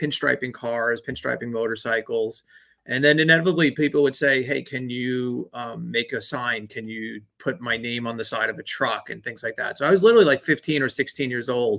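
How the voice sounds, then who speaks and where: Over a very clean recording with a silent background, a man with a slight New York accent and a bright, sharp tone speaks at a fairly quick pace with hardly any pauses. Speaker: branding agency owner. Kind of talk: podcast interview.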